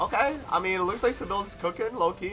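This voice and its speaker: Over music in the background, a man talks very fast with ordinary pitch variation. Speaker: gaming streamer. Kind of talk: live gameplay stream chat. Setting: live stream. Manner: loud; casual, animated.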